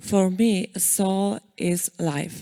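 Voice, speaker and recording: In a Polish accent, a woman speaks with a dark, mellow tone and fairly even intonation, recorded dry and close with no echo on a very clean, silent background. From Poland. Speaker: photo competition winner. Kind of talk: acceptance speech. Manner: halting.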